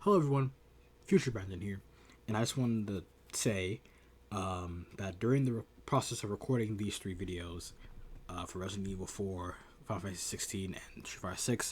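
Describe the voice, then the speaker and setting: A somewhat breathy man with a fairly low pitch talks at a fairly quick pace with ordinary pitch variation, broken by long, frequent pauses. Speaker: gaming youtuber. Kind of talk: casual video commentary. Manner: fast, sometimes slurred; hesitant, many fillers.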